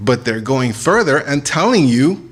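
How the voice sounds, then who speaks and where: Moving through very wide pitch swings, a man talks at a fairly slow pace. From Iran. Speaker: religious speaker. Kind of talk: lecture.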